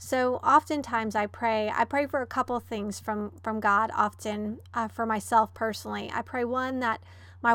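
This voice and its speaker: A woman in a monotone, flat delivery, on a very clean recording with a silent background. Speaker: Bible study teacher. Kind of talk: Bible study teaching with prayer. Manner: fast talker; prayerful, with frequent filler words.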